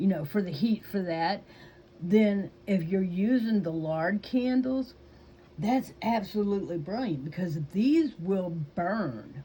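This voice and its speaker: A woman with a Southern US accent speaks at a very slow pace in a medium pitch, her somewhat breathy, dark, mellow tone carried by lively intonation. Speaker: YouTuber. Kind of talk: casual chat. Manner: hesitant, with fillers.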